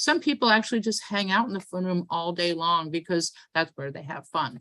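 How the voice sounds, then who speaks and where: A woman with a New York accent, a bright, sharp tone and a fairly quick pace. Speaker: event host and organizer. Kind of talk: event welcome and instructions. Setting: video call. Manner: fast.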